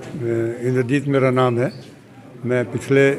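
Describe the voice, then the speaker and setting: A man's voice at medium pitch over noticeable background noise. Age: 70s. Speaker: weightlifting athlete. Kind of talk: interview.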